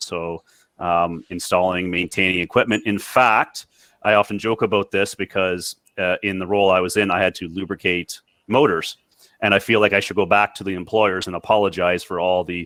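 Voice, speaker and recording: A man with a Canadian accent speaks at a moderate pace with fairly even intonation and fairly low pitch, his tone bright and sharp. The sound is dry and close with no echo, in a very clean recording with a silent background. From Canada. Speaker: former industrial electrician, reliability technologist. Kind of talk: panel discussion.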